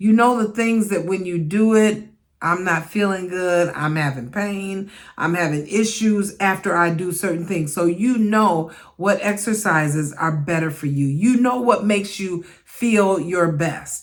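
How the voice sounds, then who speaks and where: Audible room echo surrounds a woman who speaks at a fairly slow pace with ordinary pitch variation. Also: medium pitch for a woman. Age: 60s. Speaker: midlife fitness vlogger. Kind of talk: casual talk to camera.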